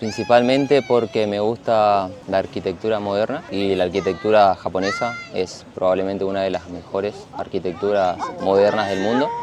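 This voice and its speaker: Noticeable background noise sits behind a man with a Corrientes accent. He speaks at a moderate pace in a fairly low pitch, with fairly even intonation. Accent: Argentine Spanish (northeastern, Corrientes). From Argentina, Corrientes. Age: 30s. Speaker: architect. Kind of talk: casual interview.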